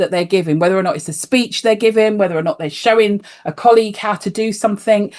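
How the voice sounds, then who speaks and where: With a British accent, a woman speaks at medium pitch. Her intonation is lively. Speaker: life coach and osteopath. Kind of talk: podcast interview.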